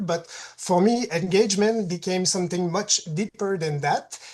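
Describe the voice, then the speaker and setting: Moderate pace, ordinary pitch variation and a Quebec accent. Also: woman. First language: French. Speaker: patient partner. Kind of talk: presentation. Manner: reads closely from prepared text.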